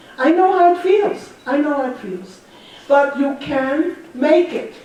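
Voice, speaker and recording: With audible room echo and noticeable background noise, a woman talks very slowly in a high pitch that swings very widely. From Germany. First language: German. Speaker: Holocaust survivor speaker. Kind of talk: talk to students. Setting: school audience. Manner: earnest, emphatic.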